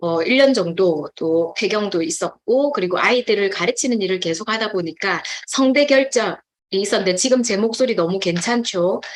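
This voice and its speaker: The woman's medium-pitched voice moves at a moderate pace, her intonation lively. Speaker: nutrition supplement business speaker. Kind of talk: testimony.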